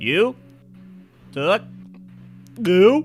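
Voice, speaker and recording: A put-on character voice sits at a middle pitch with very wide pitch swings. Faint music plays in the background. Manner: glaring, intense.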